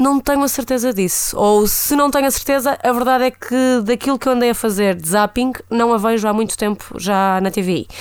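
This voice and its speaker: A woman's fairly high voice at a moderate pace, with ordinary pitch variation, hardly any pauses, and an ordinary speaking voice. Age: 20s. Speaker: podcast co-host. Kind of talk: casual chat.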